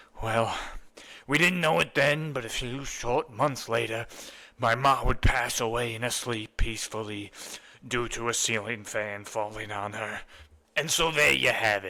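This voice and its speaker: Here a man puts on a character voice. His pitch is medium and his pace moderate. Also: ordinary pitch variation. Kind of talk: comic overacting. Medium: comedy sketch. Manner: combative, rambling, keeps saying "okay, pal".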